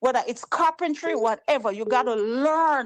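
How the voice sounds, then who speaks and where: A woman speaks in an animated tone with a Jamaican accent. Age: 60s. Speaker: caller. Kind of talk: call-in political talk.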